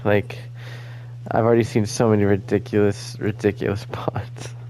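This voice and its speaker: This man's dark, mellow tone comes at a moderate pace. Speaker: gaming YouTuber. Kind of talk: casual video commentary. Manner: halting, many fillers.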